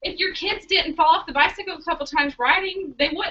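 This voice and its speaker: A woman speaks in an animated, raised, projected voice. Her tone is bright and sharp. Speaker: network marketing team leader. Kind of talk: group training call. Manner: fast.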